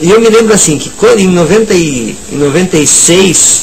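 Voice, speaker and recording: Lively intonation against noticeable background noise and audible room echo. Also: man. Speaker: writer and violinist. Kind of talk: radio interview. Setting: radio studio. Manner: halting.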